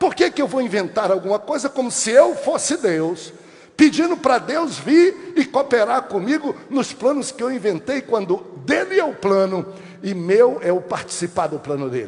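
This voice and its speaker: Here a man speaks at an extremely high pitch for a male. His pitch swings very widely, at a moderate pace. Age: 60s. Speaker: pastor. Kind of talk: sermon.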